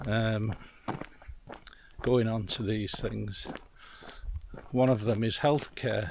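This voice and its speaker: Noticeable background noise runs behind a man who talks at a fairly slow pace. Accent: English. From England. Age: 60s. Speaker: vlogger. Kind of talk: casual vlog talk. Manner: hesitant, many fillers.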